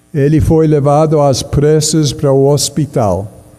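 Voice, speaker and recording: A man's fairly high-pitched voice with a non-native accent and ordinary pitch variation, very slow in pace, with audible room echo and music in the background. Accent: noticeable foreign accent in Portuguese. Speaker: pastor. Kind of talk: sermon.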